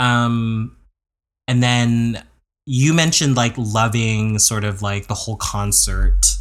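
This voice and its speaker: A man speaks at a very slow pace with fairly even intonation and a medium pitch, on a very clean recording with a silent background. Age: 30s. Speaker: podcast co-host. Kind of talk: casual chat. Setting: home recording.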